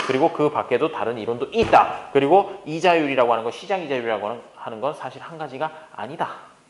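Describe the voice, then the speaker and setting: A man talking at a fairly quick pace, his intonation lively, with noticeable noise behind him. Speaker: economics lecturer. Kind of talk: lecture. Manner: fast.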